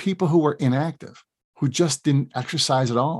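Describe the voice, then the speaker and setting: Against a quiet background, a man with a fairly high pitch talks at a moderate pace, somewhat breathy, with ordinary pitch variation. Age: 50s. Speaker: chiropractor and podcast host. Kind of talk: solo podcast talk. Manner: animated.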